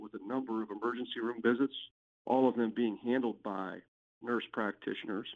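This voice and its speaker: This is an unremarkable speaking voice from a man with an American accent. He talks at a fairly quick pace with medium pitch and fairly even intonation. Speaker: personal injury lawyer. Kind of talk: podcast interview.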